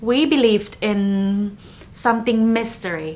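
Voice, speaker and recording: Pitched fairly high, the woman talks with a non-native accent. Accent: non-native English speaker. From northern Thailand, Chiang Mai. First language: Thai. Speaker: podcast host. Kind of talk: casual podcast monologue.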